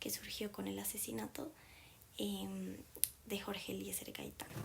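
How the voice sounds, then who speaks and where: Over noticeable background noise, a woman talks at a fairly slow speed. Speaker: documentary narrator. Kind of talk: scripted narration.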